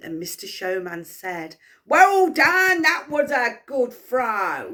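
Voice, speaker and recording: In a put-on character voice, a woman projects loudly at a very slow pace, her high pitch swinging very widely. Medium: read story. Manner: loud, hearty, calling out.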